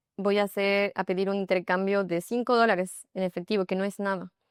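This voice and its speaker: Here a woman uses a plain, everyday voice at a medium pitch and a fairly quick pace. The sound is dry and close with no echo, against a quiet background. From Ecuador. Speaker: yoga instructor. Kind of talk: interview.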